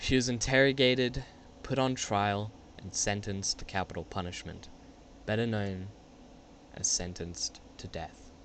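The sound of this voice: At a fairly slow pace with long, frequent pauses, a man speaks at a fairly low pitch with a fairly bright tone and ordinary pitch variation.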